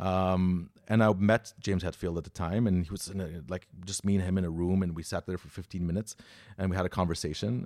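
Very deep and low, a man's voice moves at a fairly quick pace with fairly even intonation, in a dry, close sound with no echo on a very clean recording with a silent background. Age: 30s. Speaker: podcaster and metal fan. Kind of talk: casual interview storytelling.

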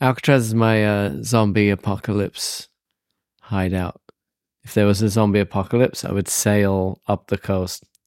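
A man with a fairly low pitch and a normal speaking voice talks at a moderate pace, his loudness swinging a lot. The sound is dry and close, with no echo. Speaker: podcast co-host. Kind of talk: casual chat. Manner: teasing, laughs often.

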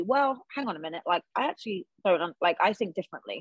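This woman speaks at a fairly quick pace with an American accent. The sound is dry and close, with no echo. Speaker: professional soccer assistant coach, former player. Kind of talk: casual interview.

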